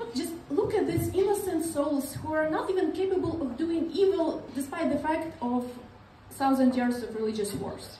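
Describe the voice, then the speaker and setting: With a moderate pace and lively intonation, the speaker comes through audible room echo over light background noise. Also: woman, extremely high pitch for a woman. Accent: Eastern European. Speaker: stand-up comedian. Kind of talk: stand-up comedy. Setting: stage with audience. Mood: ironic, deadpan sarcasm. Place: stage.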